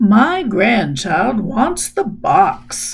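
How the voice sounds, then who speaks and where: Doing a put-on character voice, a woman sounds raspy and fairly high, her pitch swinging very widely. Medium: read story.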